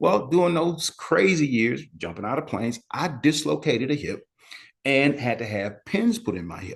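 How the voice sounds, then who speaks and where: Vocal fry and very wide pitch swings in a male voice. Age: 60s. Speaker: medical exercise educator, physical therapist. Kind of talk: webinar lecture. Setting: live online session. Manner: conversational, with frequent fillers.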